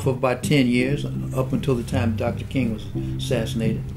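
A man at a very fast pace, with noticeable background noise. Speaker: civil rights activist. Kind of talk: interview answer. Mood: calm, reflective, firm. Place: home room.

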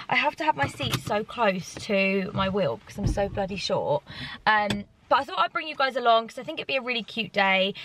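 A woman talks at a fairly quick pace with very wide pitch swings, in a dry sound with no echo and noticeable background noise. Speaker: vlogger. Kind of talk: casual vlog chat. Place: car. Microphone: phone near.

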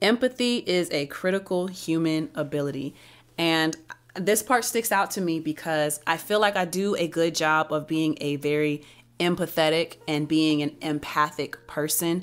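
Her voice is an ordinary speaking voice, fairly low in pitch for a woman, with ordinary pitch variation and a moderate pace. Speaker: book reviewer. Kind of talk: book review, reading aloud and commentary. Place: home room. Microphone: studio mic.

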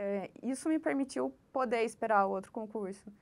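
Lively intonation marks this woman's fairly slow delivery. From Curitiba, southern Brazil; Paraná, Brazil. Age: 30s. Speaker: bank employee, successful civil-service exam candidate; candidate. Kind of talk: interview. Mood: calm, reflective. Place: office. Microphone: lapel.

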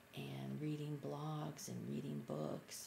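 A soft-spoken woman at a fairly slow pace, over noticeable background noise. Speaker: beginner art journaler. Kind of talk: casual talk to camera. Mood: enthusiastic, excited. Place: home room. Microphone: webcam.

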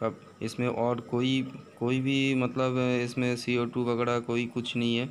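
A man talks in a monotone, flat intonation over light background noise. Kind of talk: casual vlog chat. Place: home room. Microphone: phone near.

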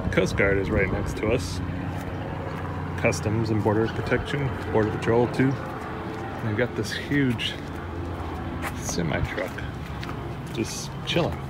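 A man speaks at a fairly slow pace with ordinary pitch variation, leaving long, frequent pauses over loud background noise. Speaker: sailing vlogger. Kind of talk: casual vlog chat. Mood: relaxed, lightly amused. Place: street. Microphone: phone near.

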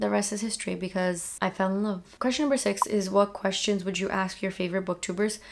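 A woman talks at a very fast pace and medium pitch. Her intonation is fairly even over light background noise. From Brazil. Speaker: booktuber. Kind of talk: casual vlog monologue. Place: home room.

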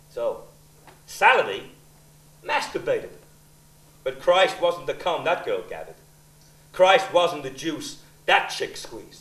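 A man speaks at a fairly slow pace with long, frequent pauses and big swings in loudness. Audible room echo surrounds him. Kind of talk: theatrical monologue. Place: stage.

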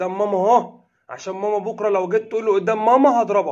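A high-pitched man talks at a fairly quick pace. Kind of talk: casual vlog chat. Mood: playful teasing. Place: home room. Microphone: phone near.

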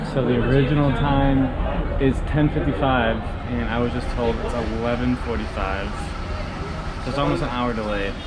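Loud background noise fills the clip. A man speaks over it at a moderate pace. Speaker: travel vlogger. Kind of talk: casual vlog chat. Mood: relieved, relaxed. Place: office. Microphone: phone near.

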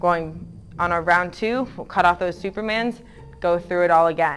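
A woman's fairly low voice with ordinary pitch variation, faint music in the background. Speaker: fitness instructor. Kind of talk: workout instruction. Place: gym.

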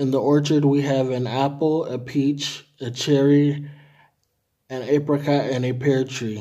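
The voice has a dark, mellow tone and a monotone, flat intonation. It moves at a fairly slow pace over a quiet background. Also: man. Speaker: language tutor. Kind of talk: reading aloud. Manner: formal. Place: home room. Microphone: phone near.

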